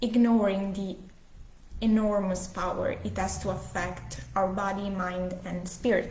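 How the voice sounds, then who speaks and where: Amid noticeable background noise and audible room echo, a woman talks at a fairly slow pace. Her pitch is medium and her intonation is flat and monotone. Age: 20s. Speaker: breath coach. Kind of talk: workshop talk. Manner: halting.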